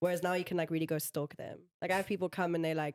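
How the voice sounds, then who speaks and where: This woman's pitch is fairly low. She keeps her intonation fairly even. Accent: South African. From Botswana, South Africa and France. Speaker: tattoo artist. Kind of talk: casual chat.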